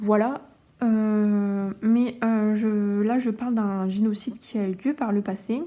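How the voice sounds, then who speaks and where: At a very slow pace, a woman speaks in a dark, mellow tone at a fairly high pitch with fairly even intonation, recorded very cleanly against a silent background. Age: 20s. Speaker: cross-stitch youtuber. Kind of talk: casual chat. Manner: halting.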